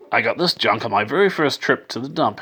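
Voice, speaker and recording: Talking in a put-on character voice, a man sounds raspy at a fairly high pitch and rushes along at a very fast pace. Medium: read story. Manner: gruff, grumbling.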